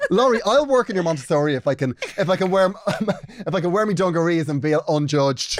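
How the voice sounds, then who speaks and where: A man with an Irish accent talks at a fairly quick pace with hardly any pauses. His pitch is high, and there is noticeable background noise. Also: lively intonation. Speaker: podcast co-host. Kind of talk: casual chat.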